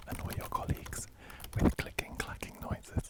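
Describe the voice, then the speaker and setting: A man whispers over noticeable background noise. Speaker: product reviewer / editor. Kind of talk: ASMR product demo. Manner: whispered, soft-spoken.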